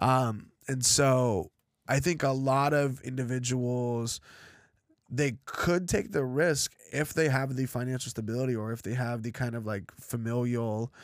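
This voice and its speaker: At a fairly slow pace, an ordinary speaking voice with an American accent shows ordinary pitch variation. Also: man. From Los Angeles, US (Russian-born). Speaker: college professor and musician. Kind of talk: casual interview conversation.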